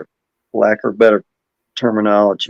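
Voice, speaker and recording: This man speaks with an Alabama accent. His pace is fairly slow. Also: dry, close sound with no echo. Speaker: podcast host. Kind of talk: casual interview.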